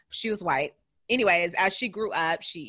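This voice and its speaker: A woman with an American accent has a bright, sharp tone and ordinary pitch variation. She talks at a moderate pace over a quiet background. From California. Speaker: podcast host. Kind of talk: casual chat.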